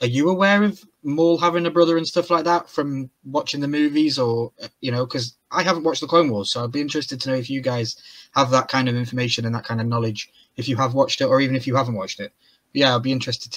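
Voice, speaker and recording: Very fast male speech with ordinary pitch variation over a quiet background. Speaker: reaction show co-host. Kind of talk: casual discussion. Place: home room.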